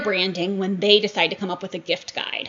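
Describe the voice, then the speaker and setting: A woman's voice with an animated tone. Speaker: online seller and workshop teacher. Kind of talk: live virtual workshop presentation. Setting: livestream.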